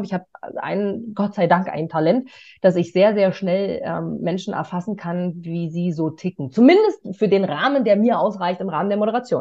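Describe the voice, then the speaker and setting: The tone is energetic, with ordinary pitch variation. The pace is fairly quick. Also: woman. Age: 30s. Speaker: stage host and interviewer. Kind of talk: interview.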